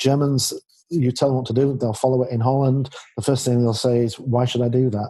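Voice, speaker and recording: With a Yorkshire accent, a man of medium pitch speaks fairly quickly in a somewhat breathy voice, dark and mellow in tone, flat in intonation and very even in loudness. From Yorkshire, northern England. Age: 50s. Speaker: leadership expert and author. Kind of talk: interview conversation.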